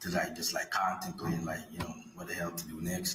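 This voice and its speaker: Over music in the background and audible room echo, a man with a Jamaican accent speaks at a moderate pace. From Jamaica (St Catherine). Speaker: defendant testifying at trial. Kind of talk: courtroom testimony. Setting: courtroom. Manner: halting, many fillers.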